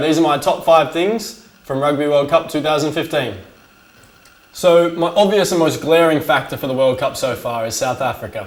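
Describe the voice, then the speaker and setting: A man with an Australian accent talks at a moderate pace, his pitch fairly high with ordinary variation. Noticeable background noise can be heard. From Australia, Sydney. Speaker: sports commentator, online show host. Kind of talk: casual sports commentary vlog. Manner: animated.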